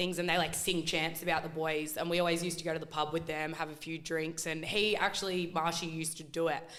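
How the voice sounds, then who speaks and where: A woman with an Australian accent talks at a very fast pace, with hardly any pauses, in a fairly low pitch. Her intonation is monotone and flat, and the room echo is audible. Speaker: football fan, internet personality. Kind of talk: casual chat. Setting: studio.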